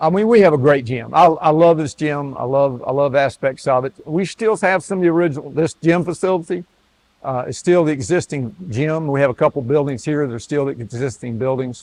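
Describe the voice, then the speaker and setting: A fairly high-pitched man in a North Carolina accent, at a fairly quick pace with ordinary pitch variation. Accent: North Carolina Southern. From US South. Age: 70s. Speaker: retired athletic director. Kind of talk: interview. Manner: halting.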